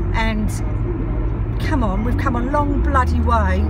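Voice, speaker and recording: Loud music in the background under a woman's fairly slow speech, dry with no echo. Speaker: vlogger. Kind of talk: casual vlog rant. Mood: annoyed, ranting. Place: car. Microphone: phone near.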